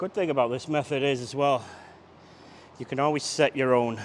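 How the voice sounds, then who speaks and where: A man at a moderate pace, medium pitch, fairly even intonation. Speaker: fitness trainer. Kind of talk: workout tutorial. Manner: loud.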